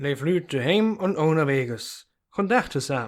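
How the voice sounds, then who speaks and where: In a Ruhr accent, a man talks at a fairly slow pace. His intonation is lively. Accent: Werden Low German dialect. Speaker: dialect storyteller. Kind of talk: dialect story reading on radio.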